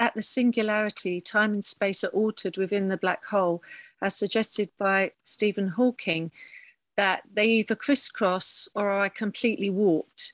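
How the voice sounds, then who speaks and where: A woman with an English accent speaks at medium pitch and a moderate pace with fairly even intonation. The sound is dry and close with no echo against a quiet background. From southern England. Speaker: painter and printmaker. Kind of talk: artist talk. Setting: video call.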